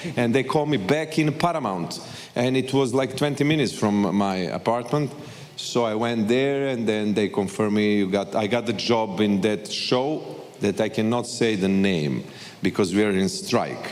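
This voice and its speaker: Speaking with a Serbian accent, a man uses medium pitch, lively intonation and a moderate pace at very even loudness. Noticeable background noise is present. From Serbia, Belgrade. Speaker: actor. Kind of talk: panel interview. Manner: halting.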